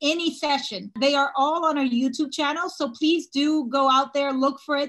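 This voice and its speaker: A woman's voice with a quiet background. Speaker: webinar host. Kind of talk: presentation introduction. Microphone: video call.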